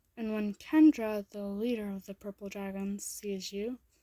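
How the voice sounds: Fairly even intonation in a natural reading voice.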